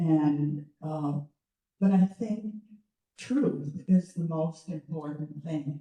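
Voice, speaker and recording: A woman speaks in a somewhat breathy voice with a dark, mellow tone. Her pitch varies in an ordinary way. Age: 70s. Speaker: retired educator. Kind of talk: public talk. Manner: halting.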